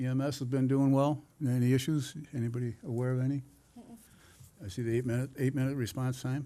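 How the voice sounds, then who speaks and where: A man's medium-pitched, dark and mellow voice in a flat monotone, very fast, with long, frequent pauses. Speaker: town board chair. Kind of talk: public meeting.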